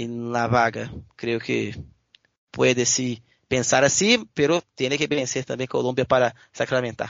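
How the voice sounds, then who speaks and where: A man talks at a fairly slow pace with a medium pitch. His intonation is fairly even. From Brazil, Belo Horizonte (Minas Gerais). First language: Portuguese (speaking Spanish). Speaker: sports journalist. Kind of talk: casual sports interview. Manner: halting, many fillers.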